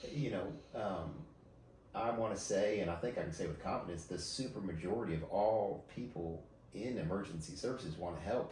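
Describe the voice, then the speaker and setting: A man talks at a fairly quick pace, fairly low in pitch, with lively intonation. Audible room echo and noticeable background noise fill the recording. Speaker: emergency services leader. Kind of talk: podcast interview. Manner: halting, many fillers and repeats.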